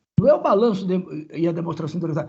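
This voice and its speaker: A man speaks in a dark, mellow tone. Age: 70s. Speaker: accounting professor. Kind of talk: meeting discussion. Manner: animated.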